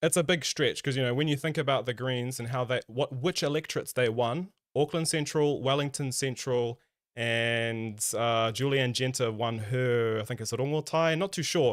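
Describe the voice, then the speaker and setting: Speaking in a New Zealand accent, a man talks at medium pitch with ordinary pitch variation. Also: moderate pace. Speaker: political stream co-host. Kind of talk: casual political discussion. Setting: live stream.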